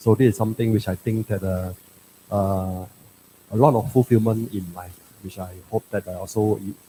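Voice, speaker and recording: A man's somewhat breathy, fairly low voice with a dark, mellow tone, fairly even intonation, big swings in loudness, long, frequent pauses at a moderate pace, and a dry, close sound with no echo. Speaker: president of a Buddhist association. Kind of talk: short address at a religious gathering. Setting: shrine hall, livestreamed. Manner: halting, many fillers.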